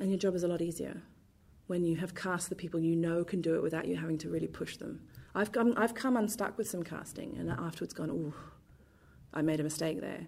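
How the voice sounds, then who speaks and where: A woman's very fast speech with vocal fry in a southern English accent. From London, England. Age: 30s. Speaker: theatre director. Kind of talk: interview.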